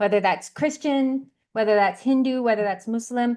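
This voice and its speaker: A woman with a Canadian accent, an ordinary speaking voice, fairly high pitch with ordinary variation and a fairly quick pace, against a quiet background. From Canada, Vancouver. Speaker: matchmaker, dating expert. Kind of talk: interview.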